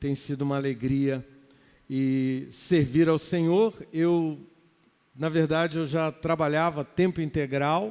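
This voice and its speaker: Over a silent background in a very clean recording, a man with a fairly high pitch talks very slowly with fairly even intonation. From Rio de Janeiro, Baixada Fluminense. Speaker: pastor. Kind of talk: sermon. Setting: church.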